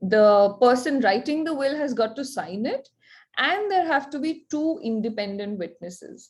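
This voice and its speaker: A woman talks at a moderate pace in a high voice whose pitch swings very widely. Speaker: lawyer. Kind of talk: online workshop presentation.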